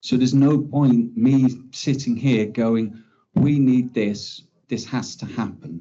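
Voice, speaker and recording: This man has an English accent and a medium-pitched voice. He talks very slowly with fairly even intonation. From England. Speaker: criminology researcher. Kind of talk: conference talk.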